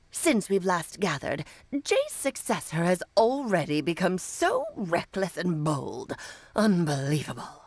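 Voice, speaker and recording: A woman puts on a character voice at medium pitch and speaks at a fairly slow pace. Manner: haughty, scolding.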